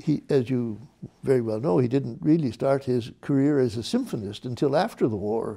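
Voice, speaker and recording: Against a quiet background, a man with a dark, mellow tone speaks at a fairly slow pace. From Canada. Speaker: musicologist; interviewee. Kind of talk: oral history interview answer. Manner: reflective, hesitant, conversational. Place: studio. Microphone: lapel.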